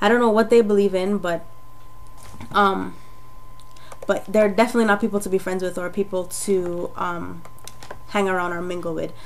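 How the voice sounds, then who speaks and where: With noticeable background noise behind her, a woman speaks at medium pitch with long, frequent pauses. Her intonation stays monotone and flat. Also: moderate pace. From Jamaica. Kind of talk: testimony. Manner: casual, hesitant with fillers.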